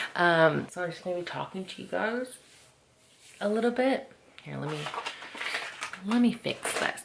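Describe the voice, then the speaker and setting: A woman whispers at a moderate pace, her loudness swinging widely between long, frequent pauses over noticeable background noise. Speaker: lifestyle vlogger. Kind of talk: casual vlog chat. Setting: home beauty room. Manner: whispering.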